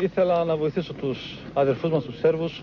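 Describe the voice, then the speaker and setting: A man speaks at a fairly slow pace with fairly even intonation and a fairly high pitch, against noticeable background noise. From Greece, Evros (Thrace). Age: 20s. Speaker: volunteer fighter. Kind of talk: field interview.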